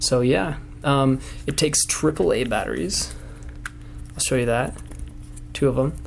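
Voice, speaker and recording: A man is recorded with audible room echo and noticeable background noise. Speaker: product reviewer. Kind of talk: product review. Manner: quiet, not loud; casual with many fillers.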